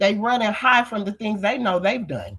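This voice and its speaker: A woman is speaking. Her voice has vocal fry. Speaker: livestreamer. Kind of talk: casual livestream monologue. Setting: livestream. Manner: animated.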